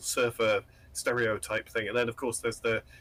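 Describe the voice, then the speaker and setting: A man speaks with a British accent. There is noticeable background noise behind him. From northeast England. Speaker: game developer. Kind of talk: interview. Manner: halting, many filler words.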